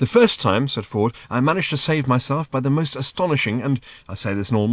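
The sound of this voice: An unforced reading voice carries the whole clip.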